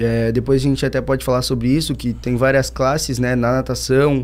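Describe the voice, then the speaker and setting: A man speaks at a moderate pace. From southern Brazil, Santana do Livramento (Rio Grande do Sul). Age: 20s. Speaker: paralympic swimmer. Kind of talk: casual chat.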